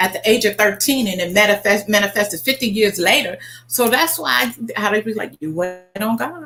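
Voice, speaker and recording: A woman with an American accent at a moderate pace, very wide pitch swings, noticeable background noise. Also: medium pitch for a woman. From US Midwest, Oklahoma and Kansas. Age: 60s. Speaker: travel agent. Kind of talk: interview.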